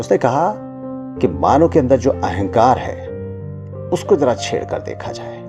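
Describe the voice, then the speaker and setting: Music plays in the background as a man with a medium pitch speaks with lively intonation, big swings in loudness and long, frequent pauses. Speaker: radio jockey storyteller. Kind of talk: live FM studio storytelling, motivational story read.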